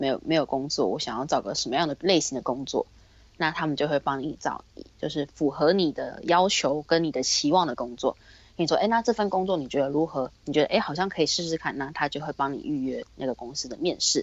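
With ordinary pitch variation, a woman talks in a very deep, low pitch. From Taiwan. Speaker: retail worker. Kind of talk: casual interview chat.

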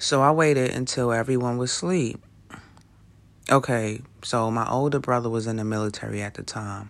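A man with an American accent talks at a moderate pace. His pitch is medium, with ordinary variation. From New York City (Brooklyn). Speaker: podcast host. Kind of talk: solo monologue. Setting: recording alone late at night.

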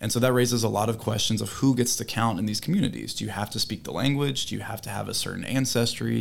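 A man with an American accent speaks very fast, hardly pausing at all. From South Carolina. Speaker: linguistics PhD candidate. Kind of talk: interview.

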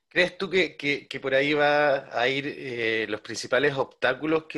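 The tone is bright and sharp, the intonation fairly even, and the pace moderate. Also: man. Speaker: interviewer. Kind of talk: interview. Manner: halting, repeats words.

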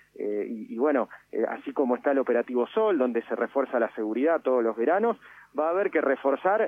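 Very wide pitch swings and a very fast pace from a man with a fairly high voice. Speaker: tourism official. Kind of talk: radio interview. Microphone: line cut out briefly.

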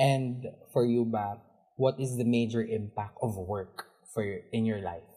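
A man with a Filipino accent speaks fairly slowly in a medium pitch, somewhat breathy. His tone is dark and mellow, and his intonation is fairly even. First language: Tagalog. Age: 20s. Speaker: podcast co-host. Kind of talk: casual chat.

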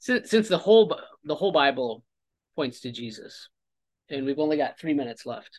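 With an American accent, a man speaks at a moderate pace and a fairly high pitch, his voice swinging very widely up and down between long, frequent pauses. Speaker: podcast host. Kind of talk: casual chat.

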